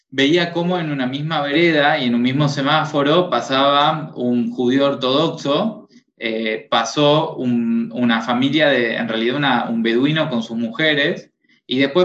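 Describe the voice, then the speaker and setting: A man uses a normal speaking voice, fairly high in pitch, talking fairly slowly with ordinary pitch variation. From Tucumán, northern Argentina. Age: 20s. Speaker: psychologist and educator. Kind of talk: casual interview.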